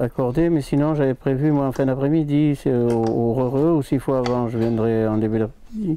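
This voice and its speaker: A man's speech with hardly any pauses and ordinary pitch variation, over noticeable background noise. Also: very even loudness. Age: 60s. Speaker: piano tuner. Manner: halting.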